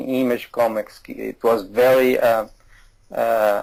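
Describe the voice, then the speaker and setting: With a Portuguese accent, a man talks at medium pitch in a monotone, flat way. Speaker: comic artist. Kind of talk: interview. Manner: halting.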